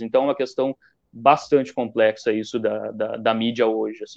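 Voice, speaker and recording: A man talks at a moderate pace in a normal speaking voice. His intonation stays fairly even. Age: 20s. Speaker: journalism student and newspaper intern. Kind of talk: casual interview. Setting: online live stream.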